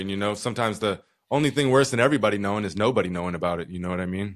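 A man's fairly low voice, an ordinary speaking voice with ordinary pitch variation. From Utah. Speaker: social work professor and podcast host. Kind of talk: casual interview conversation. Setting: remote recording from home.

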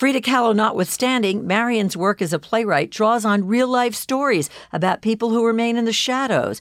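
A woman with a plain, everyday voice and fairly high pitch speaks with ordinary pitch variation, very even loudness and hardly any pauses. The recording is very clean, with a silent background. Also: moderate pace. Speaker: interviewer host. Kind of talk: interview conversation.

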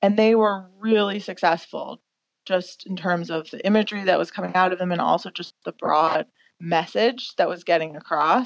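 A woman with an American accent speaks at medium pitch and a moderate pace. Hers is a plain, everyday voice with ordinary pitch variation. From US Midwest, suburban Detroit. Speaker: photographer and magazine founder. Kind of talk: casual interview.

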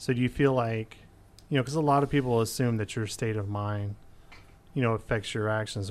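A man with a plain, everyday voice speaks at a moderate pace, his pitch fairly low with ordinary variation. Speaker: college radio host. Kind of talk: interview.

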